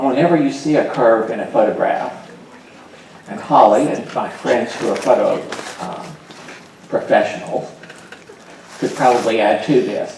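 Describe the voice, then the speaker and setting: A man with an American accent speaks with long, frequent pauses, amid audible room echo and noticeable background noise. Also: moderate pace. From US South, Atlanta, Georgia. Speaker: workshop teacher. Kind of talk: lecture. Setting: large classroom session with audience. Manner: animated.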